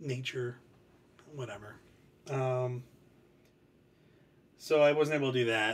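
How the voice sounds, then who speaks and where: This man has an American accent and a fairly high pitch. His intonation stays fairly even. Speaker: book reviewer. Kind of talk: casual chat. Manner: soft-spoken; hesitant, many fillers.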